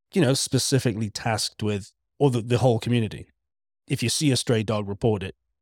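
A man with a Welsh accent speaks at a very fast pace and a medium pitch, with ordinary pitch variation. The recording is very clean, dry and close, with a silent background and no echo. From Wales. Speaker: podcast co-host. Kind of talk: casual chat.

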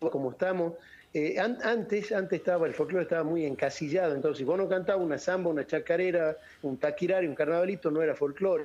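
A man speaks at a very fast pace. His pitch is high, with ordinary pitch variation. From Argentina, Salta (northwest). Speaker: folk singer. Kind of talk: radio interview.

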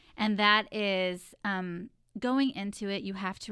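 In a very clean recording with a silent background, a woman with an American accent speaks in a bright, sharp tone. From Texas. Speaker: podcast co-host, wife and mother. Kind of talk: casual chat.

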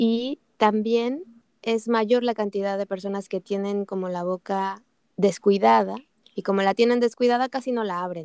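A woman with a plain, everyday voice, medium in pitch, her intonation fairly even. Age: 40s. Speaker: podcast host. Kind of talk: interview.

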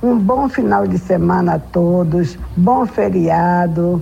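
A woman is speaking. Noticeable background noise runs behind her voice. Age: old. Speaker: religious elder. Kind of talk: radio reflection message. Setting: radio broadcast.

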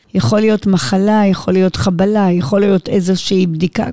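With a dry, close sound and no echo, a woman speaks at medium pitch in a dark, mellow tone with ordinary pitch variation. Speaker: interviewee, blind mother. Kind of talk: interview.

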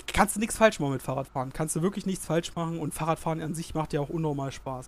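Ordinary pitch variation runs through a man's high-pitched speech. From Germany, Saxony-Anhalt (Halberstadt). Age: 20s. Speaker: student teacher, weight-loss guest. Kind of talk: casual interview.

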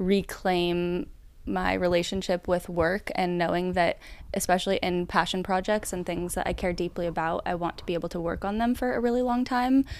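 A woman speaks at a moderate pace in a normal speaking voice, her pitch medium with ordinary variation. The recording is very clean, with a silent background. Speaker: newsletter writer. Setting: stage with live audience.

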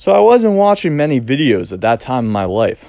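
A man with an American accent and very wide pitch swings, on a very clean recording with a silent background. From US Northeast (Cape Cod, Massachusetts). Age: 20s. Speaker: realtor and podcast host. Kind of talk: solo podcast monologue. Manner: halting, with fillers and repetitions.

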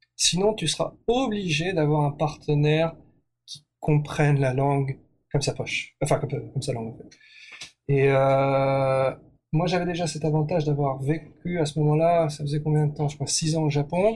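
The man's fairly high voice is somewhat breathy, and his intonation stays fairly even. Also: moderate pace. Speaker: entrepreneur. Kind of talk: interview. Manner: hesitant.

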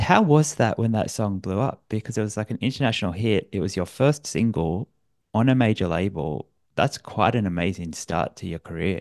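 The speaker, in an Australian accent, talks at a moderate pace with lively intonation over a quiet background. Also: man, fairly low pitch for a man. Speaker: podcast host. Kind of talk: interview; scripted outro.

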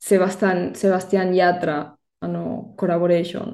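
A woman speaks with a Spanish accent in a fairly low pitch. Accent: Spanish-accented Japanese. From Spain, Barcelona. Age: 30s. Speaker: Spanish teacher. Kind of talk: casual interview. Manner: halting, many fillers.

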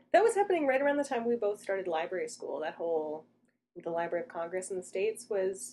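A woman with a Canadian accent talks at a very fast pace. Her tone is dark and mellow, and her intonation is lively. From Canada, Toronto. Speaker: librarian podcast co-host. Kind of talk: casual chat.

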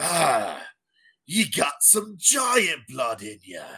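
On a very clean recording with a silent background, a man does a put-on character voice at a very slow pace. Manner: sneering, gruff.

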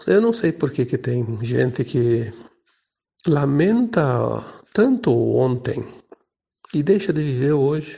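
A man's somewhat breathy voice with a dark, mellow tone and fairly high pitch, at a very slow pace, full of very wide pitch swings and long, frequent pauses. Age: 60s. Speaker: spiritual teacher. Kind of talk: spiritual talk.

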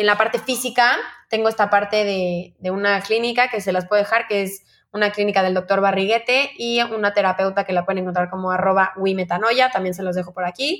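This woman has a normal speaking voice at a medium pitch. She talks at a fairly quick pace with fairly even intonation. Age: 20s. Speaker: eating disorder survivor. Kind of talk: testimony.

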